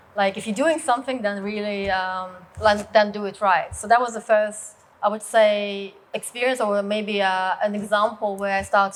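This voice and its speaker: A woman speaks with a Russian accent at a moderate pace. Her voice sits at a medium pitch, and her intonation stays fairly even. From Russia, rural village. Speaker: business leader and martial arts co-founder. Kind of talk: personal story talk. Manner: hesitant, many fillers.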